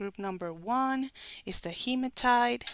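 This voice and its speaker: With a Spanish accent, a woman speaks at a very slow pace and with lively intonation. The recording is very clean, with a silent background. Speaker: tarot reader. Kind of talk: tarot reading to camera.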